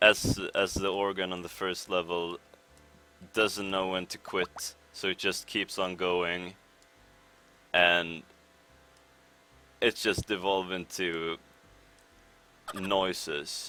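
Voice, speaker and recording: A man speaks in a very deep, low voice at a very slow pace, with long, frequent pauses. His intonation is flat and monotone, and his tone is bright and sharp. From Sweden. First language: Swedish. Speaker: speedrunner. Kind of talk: live gameplay commentary. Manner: hesitant, many fillers.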